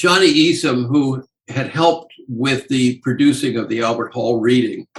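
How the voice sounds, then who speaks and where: Here a man talks at a moderate pace with medium pitch. His voice is somewhat breathy, with ordinary pitch variation. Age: 80s+. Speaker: actor and memoirist. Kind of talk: interview storytelling.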